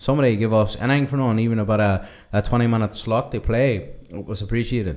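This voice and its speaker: Against a quiet background, a man with a Northern Irish accent talks very fast with ordinary pitch variation. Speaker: drummer, podcast host. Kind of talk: casual podcast talk.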